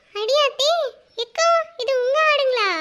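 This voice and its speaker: Here a woman puts on a cartoonish character voice. Her pitch is extremely high. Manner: sly, gleeful.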